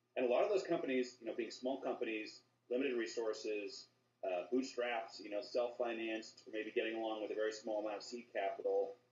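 Amid audible room echo, a man talks at a fairly quick pace with ordinary pitch variation. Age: 30s. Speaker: lawyer. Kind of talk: interview. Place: home room. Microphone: video call.

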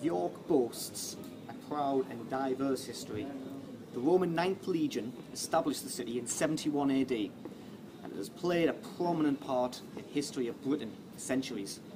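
Over noticeable background noise, a man talks at a moderate pace with big swings in loudness. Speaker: vlogger. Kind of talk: history commentary to camera. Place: street.

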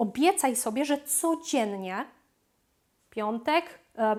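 The woman's voice moves in very wide pitch swings. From Poland. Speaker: language coach and YouTuber. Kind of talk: educational video monologue. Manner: frequent filler hesitations.

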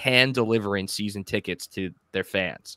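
Bright and sharp in tone, a man with an American accent speaks at a fairly low pitch and a moderate pace with ordinary pitch variation. The sound is dry with no echo, over a quiet background. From Long Island, New York; New York. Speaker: podcast co-host. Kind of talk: casual interview chat. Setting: video call. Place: home room. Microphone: studio mic.

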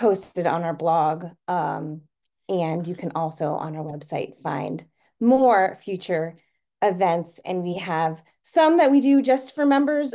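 A woman's fairly low voice with a dark, mellow tone, lively intonation and a quiet background. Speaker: webinar host. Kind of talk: webinar introduction. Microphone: video call.

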